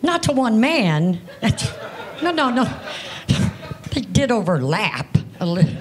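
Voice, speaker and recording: In an American accent, a woman talks at a fairly slow pace with very wide pitch swings and long, frequent pauses over light background noise. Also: big swings in loudness. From Europe then US. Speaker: stand-up comedian. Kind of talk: stand-up comedy set, self-deprecating jokes about being an old grandmother. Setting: stage with audience. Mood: dry, wry humor. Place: stage. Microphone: handheld.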